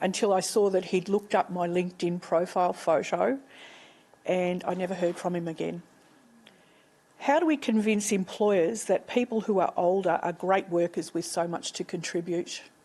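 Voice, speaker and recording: With an Australian accent, a woman speaks at medium pitch and a moderate pace. Her tone is dark and mellow, and her pitch varies in an ordinary way. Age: 60s. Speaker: audience member asking a question. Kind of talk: audience question.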